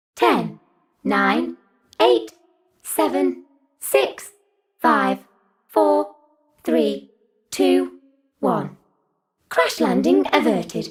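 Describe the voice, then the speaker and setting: Using a put-on character voice, a woman talks at a very slow pace with a very deep, low pitch and very wide pitch swings. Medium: solo performance. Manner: flat, mechanical.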